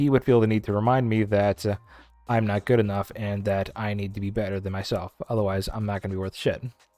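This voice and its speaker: Music plays in the background. The speech is very fast, in a monotone, flat intonation. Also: man, fairly low pitch for a man. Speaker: podcast host. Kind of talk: casual chat. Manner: halting.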